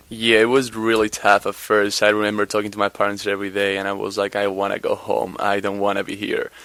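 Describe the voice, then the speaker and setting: Speaking with a Spanish accent, a man rushes at a very fast pace with hardly any pauses, his fairly low pitch held in monotone, flat intonation. Noticeable background noise fills the clip. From Spain, Madrid area. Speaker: college basketball player. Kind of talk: interview. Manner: halting.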